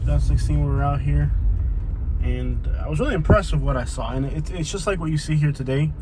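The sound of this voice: A man's voice against noticeable background noise.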